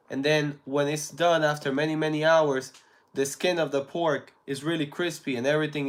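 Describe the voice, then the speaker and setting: This man speaks in a Spanish accent at a fairly high pitch. His pace is moderate and his intonation fairly even. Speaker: live streamer. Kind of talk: casual chat. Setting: live stream.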